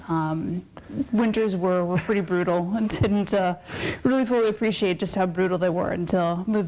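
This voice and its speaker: A woman speaks with an Upper Midwest accent. Her pitch is fairly low and varies in an ordinary way. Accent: Upper Midwest American. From South Dakota (Sioux Falls). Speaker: political science academic. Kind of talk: interview.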